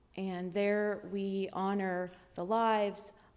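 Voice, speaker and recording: A woman speaks at a medium pitch. Her intonation is flat and monotone. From Dominican Republic, moved to US at four, raised in US. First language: Spanish. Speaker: prosecutor and judicial candidate. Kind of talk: campaign speech. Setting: public candidate forum.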